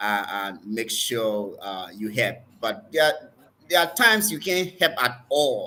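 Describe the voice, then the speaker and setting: In a Liberian accent, a man speaks at a very slow pace with a bright, sharp tone. His pitch is fairly high and swings very widely. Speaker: doctor and preacher. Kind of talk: interview.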